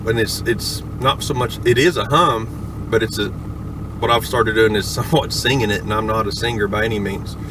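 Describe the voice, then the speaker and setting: Over noticeable background noise, a man talks at a moderate pace and a medium pitch, with ordinary pitch variation and hardly any pauses. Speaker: hobbyist learning to auctioneer, log truck driver. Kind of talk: casual talk to camera. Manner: casual, conversational.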